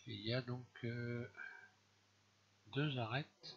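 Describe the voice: Slow and with fairly even intonation, a man speaks. His voice shows vocal fry and a slightly husky edge. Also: medium pitch for a man.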